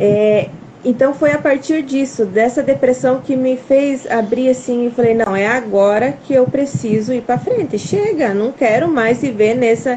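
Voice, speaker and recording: With hardly any pauses, a woman talks at a fairly slow pace in a high pitch with ordinary variation, over noticeable background noise. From Brazil, Paraná. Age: 30s. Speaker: farmer and mother. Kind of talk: testimony. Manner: halting.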